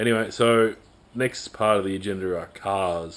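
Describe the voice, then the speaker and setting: With an Australian accent, a man speaks in a very deep, low voice with ordinary pitch variation. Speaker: amateur hill climb racer. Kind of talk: casual talk to camera.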